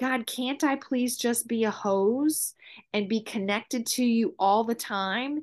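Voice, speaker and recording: Against a quiet background, a woman speaks at a fairly slow pace. Her pitch is fairly high, and it is an ordinary speaking voice. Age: 50s. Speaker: mother and realtor. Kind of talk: casual chat.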